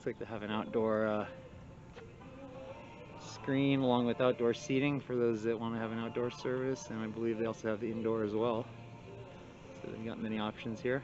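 Clear music plays behind a man speaking at a fairly quick pace. His intonation is monotone and flat, and the sound is dry with no echo. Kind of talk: casual vlog commentary. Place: street. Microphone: phone near.

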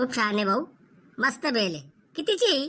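In a put-on character voice, the speaker moves at a moderate pace with very wide pitch swings. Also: woman, high pitch for a woman. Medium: comedy sketch. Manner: meek, placating.

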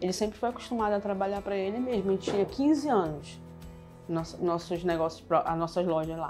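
Speaking at a fairly quick pace, this woman has a medium pitch and a northern Brazilian accent. Faint music plays in the background. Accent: northern Brazilian (Pará) Portuguese. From Pará, northern Brazil. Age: 40s. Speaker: shop owner. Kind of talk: interview answer. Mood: warm, reflective. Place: shop. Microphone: lapel.

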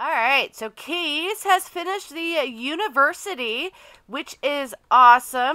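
A raised, projected voice comes through at a fairly slow pace on a very clean recording with a silent background. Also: woman, high pitch for a woman. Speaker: gaming YouTuber. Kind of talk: casual let's play commentary.

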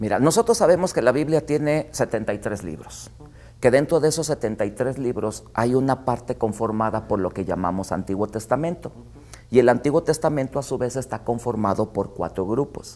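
A man's dark, mellow tone at a moderate pace. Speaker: guest theology teacher. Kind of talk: interview answer. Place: studio.

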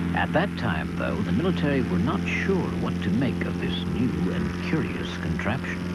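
A man's very deep, low voice at a moderate pace, fairly even in intonation, with noticeable background noise. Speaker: narrator. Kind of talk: documentary narration.

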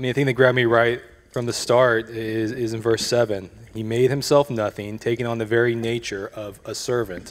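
This man speaks at a moderate pace in a monotone, flat intonation. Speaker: church member discussing passage. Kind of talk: casual Bible discussion. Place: stage. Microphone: handheld.

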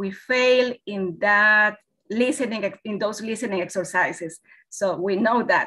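Against a quiet background, a woman with a Spanish accent talks at a fairly slow pace in a fairly high, bright, sharp tone with ordinary pitch variation. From Ecuador. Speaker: English teacher. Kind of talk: webinar presentation. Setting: video call. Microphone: webcam.

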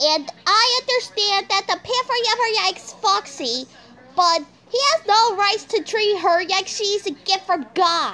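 Over noticeable background noise, a woman projects a raised voice at an extremely high pitch with lively intonation. Her loudness stays very even, and her pace is fairly slow. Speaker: video host giving approval to rants. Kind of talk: casual agreeing commentary.

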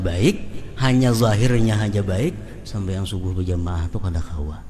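A man with a South Kalimantan accent is heard with audible room echo and noticeable background noise. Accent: Banjar-accented Indonesian. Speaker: religious teacher. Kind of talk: religious lecture.

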